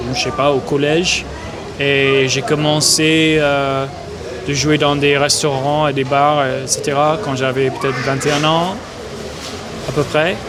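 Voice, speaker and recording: A man with an American accent speaks very slowly in a fairly high, flat monotone, with long, frequent pauses, audible room echo and noticeable background noise. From Alaska, US. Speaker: folk musician. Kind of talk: interview. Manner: halting, many fillers.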